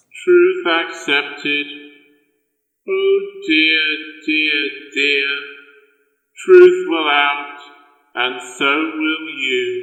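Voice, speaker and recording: A man's put-on character voice, fairly high in pitch, at a very slow pace with long, frequent pauses and a clear echo. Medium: audio drama. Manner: fussy, repetitive, sing-song.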